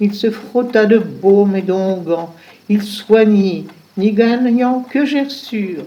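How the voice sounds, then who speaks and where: A woman speaks very slowly at a fairly high pitch with ordinary pitch variation, and there is noticeable background noise. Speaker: voice-over narrator. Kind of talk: read story.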